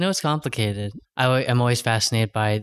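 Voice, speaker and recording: A man talks at medium pitch with an American accent. The sound is dry and close, with no echo. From California. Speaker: podcast host. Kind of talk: scripted narration; casual chat.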